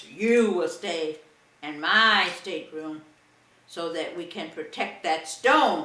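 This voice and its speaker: With slight echo, a put-on character voice at middle pitch moves at a fairly slow pace. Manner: stern.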